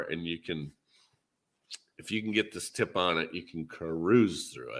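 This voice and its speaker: In a Minnesotan accent, a man speaks with a bright, sharp tone and ordinary pitch variation. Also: very clean recording, silent background. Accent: Minnesota. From US Midwest, Minnesota. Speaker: podcast host. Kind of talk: casual chat.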